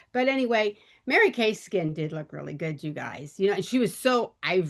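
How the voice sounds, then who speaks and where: Over a quiet background, a woman with a normal speaking voice talks at a moderate pace with lively intonation. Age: 60s. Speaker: direct sales consultant. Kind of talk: casual talk. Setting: video call.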